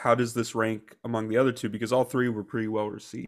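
The speaker has an American accent and a monotone, flat intonation. The recording is very clean, with a silent background. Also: man. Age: 20s. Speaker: podcast co-host, college student. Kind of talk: casual chat.

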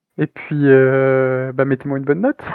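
A man talks at a fairly high pitch. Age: 30s. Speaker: indie game developer. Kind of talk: interview. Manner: halting.

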